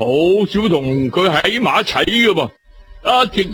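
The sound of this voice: The speaker reads in an unforced reading voice, and the intonation moves in a lively way.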